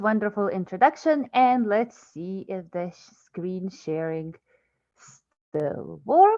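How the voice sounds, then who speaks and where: Speaking very slowly, a woman keeps her intonation lively. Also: big swings in loudness. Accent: Lithuanian. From Lithuania, Vilnius. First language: Lithuanian. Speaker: research scientist. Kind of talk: scientific lecture.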